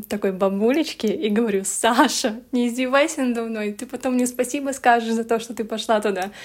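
A woman with a fairly high pitch talks in an ordinary speaking voice at a moderate pace, with hardly any pauses. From Belarus. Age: 20s. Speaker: blogger. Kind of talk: casual chat.

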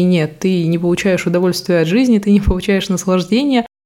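Noticeable background noise behind a woman's voice, medium in pitch, with ordinary pitch variation. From Russia, Murmansk. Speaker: podcast host, personal brand mentor. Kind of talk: unscripted solo monologue.

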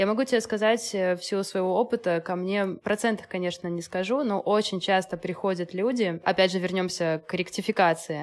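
A woman with a normal speaking voice and a medium pitch talks at a moderate pace with hardly any pauses and fairly even intonation, in a very clean recording with a silent background. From Belarus (Minsk). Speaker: astrologer and mother. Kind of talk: casual interview chat.

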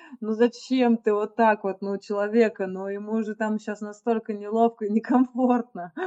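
In a normal speaking voice, a woman speaks at a fairly high pitch with ordinary pitch variation, the sound dry and close with no echo. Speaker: podcast co-host. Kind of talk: casual interview chat.

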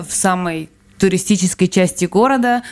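In an ordinary speaking voice, a woman keeps a moderate pace, her pitch medium and its variation ordinary. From Belarus. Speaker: emigrant, guest's wife. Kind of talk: casual interview.

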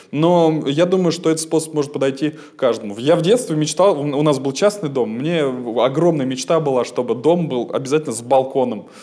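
With a fairly high pitch and a dark, mellow tone, a man speaks at a moderate pace with lively intonation. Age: 20s. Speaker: stage actor and radio host. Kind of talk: casual chat.

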